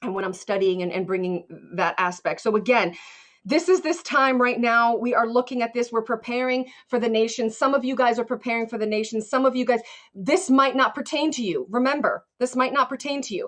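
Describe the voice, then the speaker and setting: Her pitch high and varied in an ordinary way, a woman speaks at a fairly quick pace. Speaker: motivational speaker. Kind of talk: motivational livestream talk. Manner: fast; animated.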